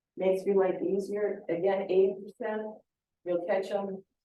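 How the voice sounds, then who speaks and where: A woman with an American accent speaks at a moderate pace in a medium pitch. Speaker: beekeeping association president and speaker. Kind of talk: presentation to a club meeting.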